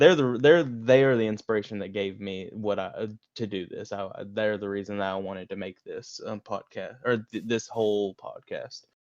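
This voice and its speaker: A man with a Southern US accent, fairly low in pitch, ordinary pitch variation, big swings in loudness and a moderate pace. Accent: southern twang. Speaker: podcast co-host. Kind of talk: reading own message aloud; casual chat.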